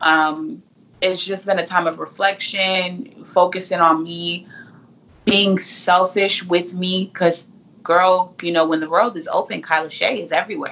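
A woman with an American accent has an unremarkable speaking voice at a medium pitch. She speaks at a fairly slow pace with ordinary pitch variation. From California. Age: 20s. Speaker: motivational speaker and author. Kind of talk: casual interview.

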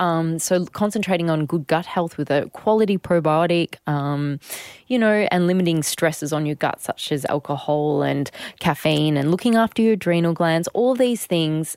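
A woman speaks with an Australian accent at a fairly low pitch, her loudness very even and her pitch variation ordinary. The sound is dry and close with no echo, on a very clean recording with a silent background. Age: 30s. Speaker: personal trainer and podcast co-host. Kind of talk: casual chat. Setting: studio.

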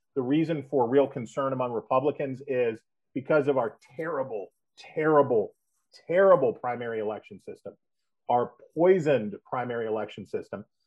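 In an American accent, a man with an ordinary speaking voice talks at a fairly quick pace, his medium pitch showing ordinary variation. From West Virginia. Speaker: political analyst. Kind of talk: interview. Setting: phone call.

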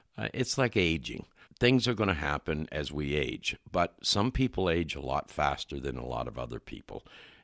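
Recorded very cleanly against a silent background, this man's very deep, low voice carries vocal fry and very wide pitch swings at a moderate pace, with a dry, close sound and no echo. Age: 70s. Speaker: nutrition expert. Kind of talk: interview.

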